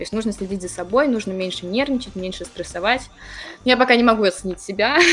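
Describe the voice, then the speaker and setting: Over music in the background, a woman talks at a very fast pace. Her pitch is medium, with ordinary variation. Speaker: university student and career guidance staff. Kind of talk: interview. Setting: remote call.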